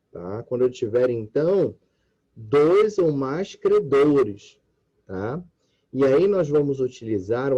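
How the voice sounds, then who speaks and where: A man's dark, mellow tone, fairly high in pitch, at a very slow pace. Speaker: law professor. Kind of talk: lecture.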